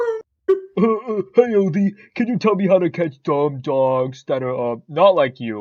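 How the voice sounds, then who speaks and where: A middle pitch carries this put-on character voice. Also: moderate pace. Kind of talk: comic overacting. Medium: fan dub. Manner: smug, sarcastic.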